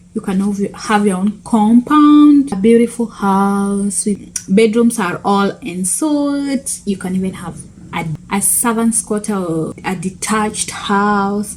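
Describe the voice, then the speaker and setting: A woman at medium pitch with ordinary pitch variation, very slow pace, and noticeable background noise. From Kenya. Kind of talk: casual talk to camera.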